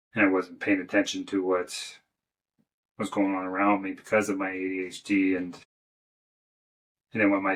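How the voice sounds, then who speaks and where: A man's very deep, low voice holds a monotone, flat intonation at a moderate pace. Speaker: motivational podcaster, former Marine and firefighter. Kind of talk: personal monologue. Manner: halting, repeats words.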